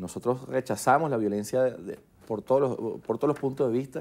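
A man with a dark, mellow tone speaks at a fairly quick pace with fairly even intonation. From Venezuela. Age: 30s. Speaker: politician. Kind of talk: TV news interview. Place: studio. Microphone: lapel.

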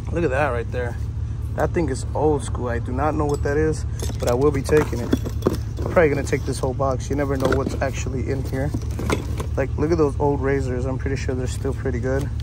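Speech races at a very fast pace. The sound is dry with no echo, but loud background noise is present. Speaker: resale picker vlogger. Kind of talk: casual vlog chat. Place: street. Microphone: phone near.

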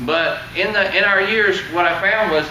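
Light background noise and audible room echo accompany a man's raised, projected voice. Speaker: presenter. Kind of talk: seminar talk to audience. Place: meeting room. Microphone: camera far.

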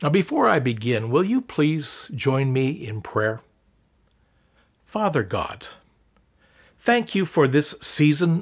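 Somewhat breathy, a man talks at a very slow pace with very wide pitch swings. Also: quiet background. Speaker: church pastor. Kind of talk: welcome announcements then prayer. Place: home room.

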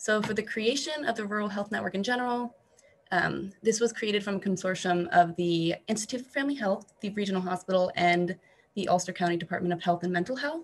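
A woman speaks at a very fast pace in a somewhat breathy voice. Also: ordinary pitch variation. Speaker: public health program coordinator; presenter. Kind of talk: presentation. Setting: video call. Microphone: video call.

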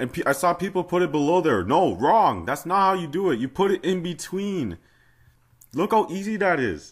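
A man's high-pitched voice at a moderate pace, with ordinary pitch variation, against a quiet background. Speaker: fangame modding tutorial maker. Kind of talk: casual game tutorial commentary. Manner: casual, mildly exasperated.

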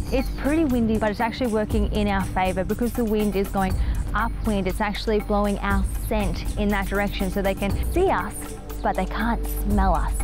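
Over clear music in the background, a woman with an Australian accent speaks at a fairly quick pace with very even loudness and a dry sound with no echo. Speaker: TV host. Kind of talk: travel show presenting to camera. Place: open country. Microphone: lapel.

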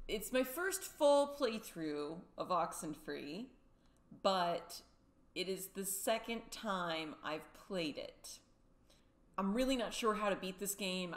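A woman speaks with lively intonation. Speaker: gaming streamer. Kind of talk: casual gaming intro and commentary. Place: home room.

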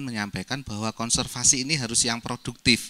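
The speaker is a man with a bright, sharp tone. His pitch varies in an ordinary way. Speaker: regional government official. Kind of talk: presentation. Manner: hesitant, many fillers. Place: meeting room.

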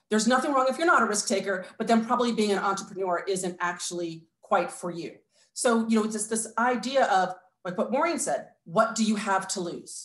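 A woman with a fairly high pitch talks at a fairly quick pace, with ordinary pitch variation. Audible room echo fills the recording. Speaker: entrepreneur; panelist. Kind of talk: panel discussion. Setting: video call. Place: home room. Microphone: webcam.

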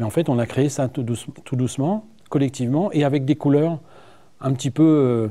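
Dark, mellow tone from a man at a fairly quick pace with ordinary pitch variation. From northern France, Seine-Maritime (Normandy); Normandy, France. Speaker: director of a regional tourism agency; guest. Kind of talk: TV studio interview. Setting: TV studio. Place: studio. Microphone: lapel.

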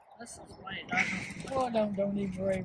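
A woman with an American accent at a moderate pace and lively intonation, the sound dry with no echo, against loud background noise. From Pennsylvania, USA. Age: 80s+. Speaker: flower gardener. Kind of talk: garden tour talk to camera. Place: garden.

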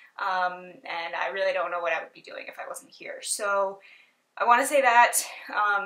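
A woman's bright, sharp voice at a moderate pace, with ordinary pitch variation and a quiet background. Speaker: lifestyle vlogger. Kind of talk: casual vlog chat. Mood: light, slightly self-conscious. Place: home room. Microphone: camera far.

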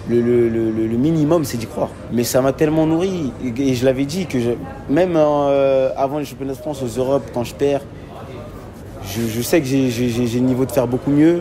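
Over noticeable background noise and audible room echo, a man talks at a moderate pace in a medium pitch with ordinary pitch variation. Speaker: judoka, olympic silver medallist. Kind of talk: post-event interview.

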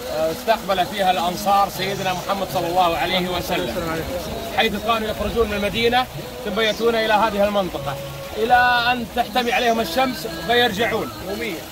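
Over clear background music, a man speaks at a moderate pace with a high pitch and ordinary pitch variation. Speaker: local guide. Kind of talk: guided tour explanation. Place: garden. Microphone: phone near.

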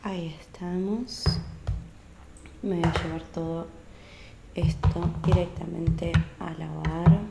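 A soft-spoken woman talks at a very slow pace. Music plays in the background. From Argentina. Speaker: ASMR creator. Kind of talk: ASMR role-play. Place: home room. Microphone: studio mic.

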